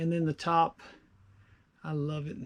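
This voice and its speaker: The man talking has a high pitch. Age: 60s. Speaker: woodturner. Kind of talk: tutorial. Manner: casual, with many fillers.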